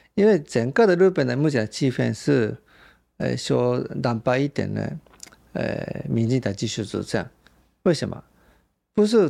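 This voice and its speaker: A man with a slight Japanese accent at a moderate pace, with long, frequent pauses. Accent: slight Japanese accent in Mandarin. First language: Japanese (speaking Chinese). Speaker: journalist. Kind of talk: interview.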